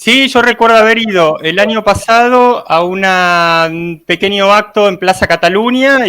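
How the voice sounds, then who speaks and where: With a bright, sharp tone, a man speaks using lively intonation. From Argentina, Buenos Aires. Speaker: life coach and reporter. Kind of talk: live online panel discussion.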